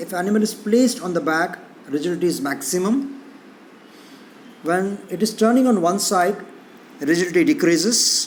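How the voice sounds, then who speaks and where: A man speaks with long, frequent pauses against noticeable background noise, and the room echo is audible. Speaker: physiology lecturer. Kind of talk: lecture. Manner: fast.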